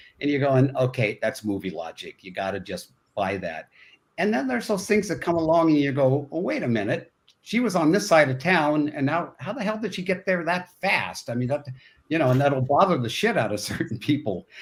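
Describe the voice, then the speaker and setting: A man at a fairly quick pace, fairly high in pitch, with vocal fry and very wide pitch swings, on a very clean recording with a silent background. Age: 70s. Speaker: film director. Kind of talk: casual chat. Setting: podcast interview. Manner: animated.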